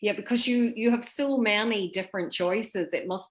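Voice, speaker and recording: A woman speaks with a Northern Irish accent. Her pace is moderate. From Northern Ireland. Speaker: interviewer. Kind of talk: interview.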